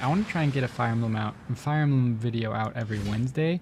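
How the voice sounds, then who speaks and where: Quiet and somewhat breathy, a man speaks at a medium pitch with ordinary pitch variation. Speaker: gaming YouTuber. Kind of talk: gameplay commentary. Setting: home recording late at night.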